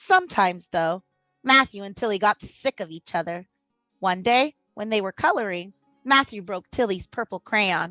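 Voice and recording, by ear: A natural voice reading aloud, with quiet all around it.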